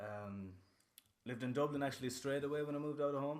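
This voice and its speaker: With a western Irish accent, a man speaks with ordinary pitch variation amid audible room echo. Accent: Irish (west of Ireland). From western Ireland (Castlerea, Roscommon). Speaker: rapper. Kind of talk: casual chat. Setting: studio. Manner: animated.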